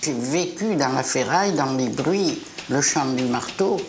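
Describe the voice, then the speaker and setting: A woman speaks at a very slow pace with very wide pitch swings. Noticeable background noise and audible room echo fill the recording. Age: 70s. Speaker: family business founder. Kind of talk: documentary interview.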